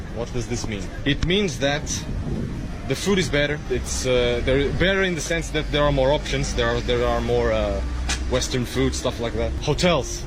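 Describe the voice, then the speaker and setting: Music plays in the background along with audible room echo. A man speaks at a moderate pace. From Portugal. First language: Portuguese. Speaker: travel vlogger. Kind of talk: casual vlog monologue. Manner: halting, many repetitions.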